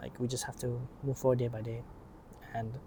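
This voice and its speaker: His voice dark and mellow, a man talks at a medium pitch, somewhat breathy, with fairly even intonation. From Asia. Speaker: vlogger. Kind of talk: casual monologue. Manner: fast; rambling.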